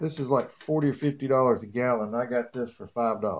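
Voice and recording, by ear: Speaking at a fast pace, a man uses a medium pitch with ordinary pitch variation.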